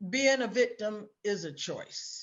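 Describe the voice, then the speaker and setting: A woman with a fairly high pitch speaks at a very slow pace, her intonation lively. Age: 60s. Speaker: author and influencer. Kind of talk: interview.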